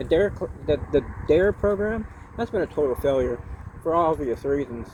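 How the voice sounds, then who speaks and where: Noticeable background noise sits behind a man with an American accent whose fairly high voice has lively intonation. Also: moderate pace. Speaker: video blogger in rehab. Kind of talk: casual video monologue.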